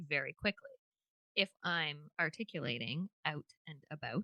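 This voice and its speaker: A woman with an American accent talks at a moderate pace in a bright, sharp tone, with a dry, close sound and no echo. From Canada, New Brunswick. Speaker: podcast co-host. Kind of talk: casual chat.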